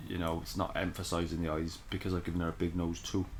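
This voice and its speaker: Mumbling from a man, somewhat breathy, very deep and low in pitch, with monotone, flat intonation. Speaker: caricature artist. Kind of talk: drawing tutorial. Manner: thinking aloud, mumbling to self; casual, hesitant.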